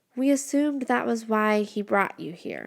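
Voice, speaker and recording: In a put-on character voice that sounds female, the speaker is soft-spoken, fairly high-pitched for a woman, and keeps a moderate pace. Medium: read story. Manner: soft, kindly.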